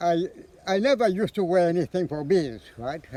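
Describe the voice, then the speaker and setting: A man's voice sits high in pitch and moves through very wide pitch swings. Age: 80s+. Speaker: veteran beekeeper. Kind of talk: interview storytelling. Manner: halting, repetitive.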